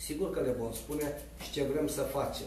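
Fairly slow speech from a man, carried with audible room echo. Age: 50s. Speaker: politician. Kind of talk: press conference statement. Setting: press conference.

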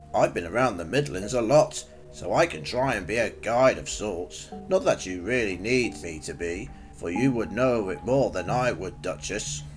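Over clear music in the background, a man performs a put-on character voice. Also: fairly low pitch for a man, moderate pace. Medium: audio drama. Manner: modest, hesitant.

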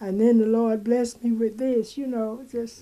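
A high-pitched woman's voice with an American accent. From Mississippi. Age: 80s+. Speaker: home cook and caramel spread maker. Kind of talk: interview answer. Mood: emotional, near tears. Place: home room.

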